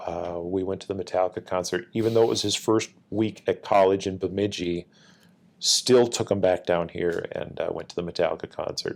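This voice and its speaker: Fairly quick, a man talks with an Upper Midwest US accent. The recording is very clean, the background silent. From Minnesota (Northfield). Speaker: military command chief. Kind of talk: interview.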